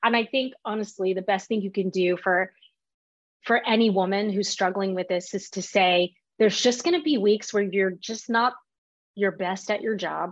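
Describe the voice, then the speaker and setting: With an American accent, a woman of medium pitch speaks in an unremarkable speaking voice at a moderate pace, with ordinary pitch variation. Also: quiet background. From Texas, Fort Worth. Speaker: marketing executive. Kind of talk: interview.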